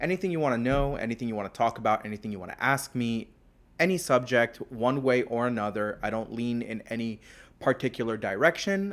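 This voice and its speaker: Here is an unremarkable speaking voice: a man at medium pitch with lively intonation and a moderate pace, recorded very cleanly against a silent background. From US, South Florida (moved from Israel as small child). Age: 30s. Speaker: podcast host. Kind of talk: casual monologue. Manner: casual, with filler words.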